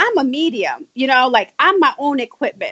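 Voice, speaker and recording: The voice has an American accent and very wide pitch swings. The sound is dry and close with no echo. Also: woman. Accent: Spanish twang with New York. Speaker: spiritual medium. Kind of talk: casual interview chat.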